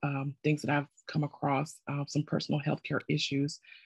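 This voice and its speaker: A woman's very deep, low voice with vocal fry, at a moderate pace, in a dry, close sound with no echo. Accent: American. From South Carolina. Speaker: participant in advocacy course. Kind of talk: self-introduction in a video meeting.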